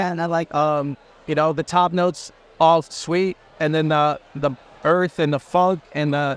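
A man speaks in a high pitch with a monotone, flat intonation, and the sound is dry with no echo. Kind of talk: interview answer. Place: hall.

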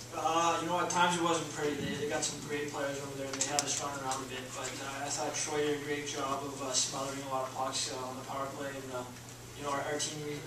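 Noticeable background noise and audible room echo surround a man talking at a very fast pace. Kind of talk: interview answer. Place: meeting room.

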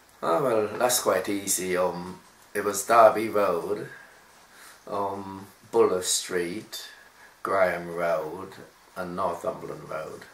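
Speaking at a very slow pace with long, frequent pauses, a man is heard with audible room echo. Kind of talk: interview answer. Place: home room. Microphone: camera far.

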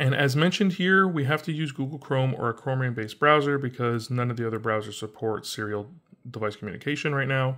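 With light background noise behind him, a man speaks at a fairly quick pace with ordinary pitch variation. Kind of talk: tutorial. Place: home room. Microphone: phone near.

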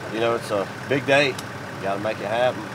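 Noticeable background noise runs under this recording. A man with an Alabama accent talks at a very fast pace. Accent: Southern US (Alabama). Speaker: professional bass angler. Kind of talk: casual vlog talk to camera. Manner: animated.

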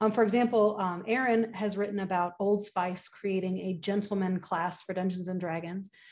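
A woman speaks in a plain, everyday voice at a medium pitch, with fairly even intonation and a moderate pace. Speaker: communication studies professor. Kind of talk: conference presentation. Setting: video call.

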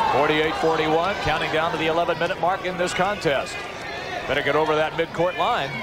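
A man speaks over loud background noise, the sound dry with no echo. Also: moderate pace. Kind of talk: live sports commentary. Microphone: headset.

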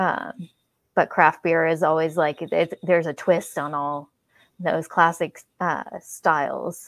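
In a Californian accent, a woman speaks at a very slow pace with monotone, flat intonation. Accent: General American (California). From San Francisco Bay Area, California. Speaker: paranormal investigator. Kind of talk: casual chat.

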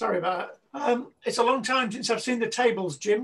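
A fairly bright tone with a slightly husky edge at a fairly quick pace. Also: man, extremely high pitch for a man, ordinary pitch variation.

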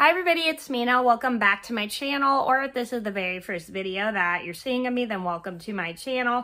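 A woman speaks at a fairly quick pace, her fairly high voice bright and sharp in tone. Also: ordinary pitch variation.

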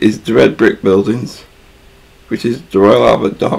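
Moderately paced speech from a man. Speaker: vlogger on a ferry trip. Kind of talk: casual tour commentary. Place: boat. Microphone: phone near.

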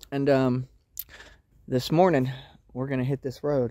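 The sound is dry with no echo and the background is quiet. A man speaks in a dark, mellow tone. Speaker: homesteading vlogger. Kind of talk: casual vlog chat. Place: forest. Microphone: phone near.

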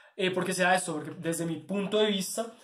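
A man with a monotone, flat delivery at a moderate pace, with audible room echo. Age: 20s. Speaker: university student; candidate. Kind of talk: candidacy self-presentation video; self-presentation monologue. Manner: hesitant, with filler sounds. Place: home room. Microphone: phone near.

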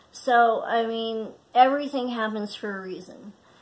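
A woman speaks at a fairly slow pace. Her pitch is fairly high and her intonation fairly even. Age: 30s. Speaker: craft podcaster. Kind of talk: casual chat; casual vlog chat. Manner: halting. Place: home room. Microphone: phone near.

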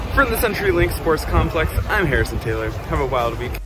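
Noticeable background noise accompanies a man speaking at a fairly quick pace. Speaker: stadium reviewer. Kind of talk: casual vlog chat.

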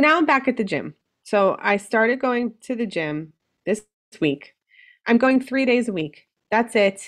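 A woman at a fairly high pitch and fairly slow pace, with very wide pitch swings and long, frequent pauses, in a quiet background. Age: 40s. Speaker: weight loss surgery patient; podcast guest. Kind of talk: casual chat. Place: home room.

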